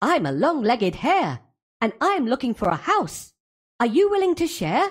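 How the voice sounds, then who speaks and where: A put-on character voice at a high pitch swings very widely in pitch while keeping a moderate pace. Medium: read story.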